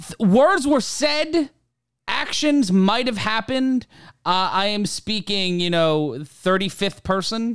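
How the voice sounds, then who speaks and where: A man with an American accent speaks at a very slow pace. His pitch is high and his intonation lively. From Brooklyn, New York. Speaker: podcast host. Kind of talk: casual chat.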